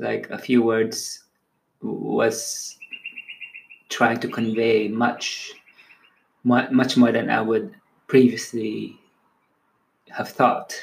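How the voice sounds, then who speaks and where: A man with a Filipino accent speaks at a very slow pace. He leaves long, frequent pauses. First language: Tagalog. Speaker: poet. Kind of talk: casual reflection; poetry reading.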